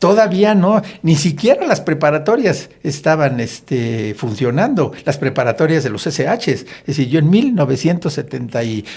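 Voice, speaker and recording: A somewhat breathy man talks at a moderate pace, his fairly high pitch swinging very widely. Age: 70s. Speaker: politician. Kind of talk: podcast discussion.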